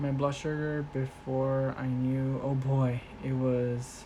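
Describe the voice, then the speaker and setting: The voice is quiet, with noticeable background noise behind it. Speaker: streamer. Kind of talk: casual live stream chat.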